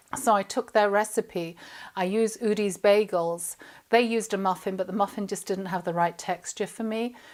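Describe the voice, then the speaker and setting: A woman with an English accent, medium in pitch, at a moderate pace and fairly even intonation, on a very clean recording with a silent background. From England. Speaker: chef and cooking presenter. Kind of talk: cooking tutorial. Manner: chatty, casual.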